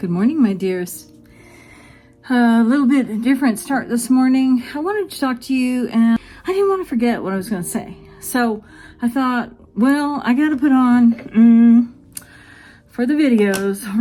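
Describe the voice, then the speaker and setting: A woman with a high pitch speaks at a moderate pace, with ordinary pitch variation. Long, frequent pauses break up her speech over noticeable background noise. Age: 60s. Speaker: gardening vlogger. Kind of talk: casual chat. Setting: at home at vanity mirror. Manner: rambling, conversational.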